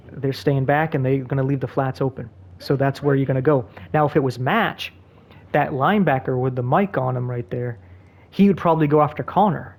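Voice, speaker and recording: Somewhat breathy, a man speaks at a fairly quick pace in a fairly high pitch. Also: ordinary pitch variation. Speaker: gaming tutorial creator. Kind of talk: tutorial. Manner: fast.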